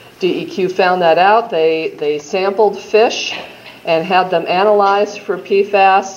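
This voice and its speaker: With a Midwestern accent, the speaker talks at a moderate pace with ordinary pitch variation over noticeable background noise and audible room echo. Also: woman. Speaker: state health agency official. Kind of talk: conference presentation. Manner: casual with frequent fillers.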